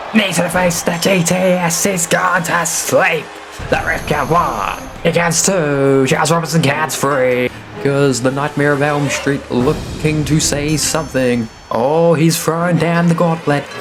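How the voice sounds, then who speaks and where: A man's fairly high voice with fairly even intonation at a fairly slow pace, with music in the background. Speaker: wrestling commentator. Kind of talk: sports play-by-play commentary.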